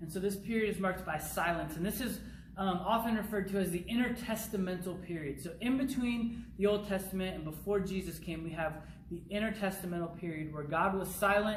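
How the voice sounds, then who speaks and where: Speaking at a fairly quick pace, a man with a high pitch and ordinary pitch variation is heard over noticeable background noise and audible room echo. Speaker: youth pastor. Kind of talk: recorded bible teaching. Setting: pre-recorded video, not live. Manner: fast.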